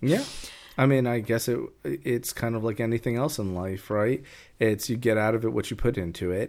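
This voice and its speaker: In a very clean recording with a silent background, a man with a normal speaking voice, medium pitch and an American accent speaks at a moderate pace with fairly even intonation. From New York, US. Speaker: podcast co-host. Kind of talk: casual chat.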